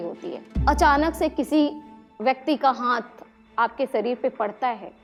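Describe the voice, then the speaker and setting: Over music in the background, a woman speaks at a high pitch. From Bihar, India. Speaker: social activist. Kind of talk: motivational stage talk.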